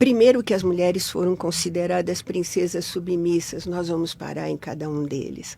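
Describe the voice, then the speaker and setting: Her fairly low pitch gives this woman a dark, mellow tone. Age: 70s. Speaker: psychologist. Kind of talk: interview.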